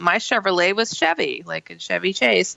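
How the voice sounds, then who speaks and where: With lively intonation and an ordinary speaking voice, a woman keeps to a moderate pace. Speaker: radio show host. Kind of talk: talk radio show hosting. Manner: casual, chatty.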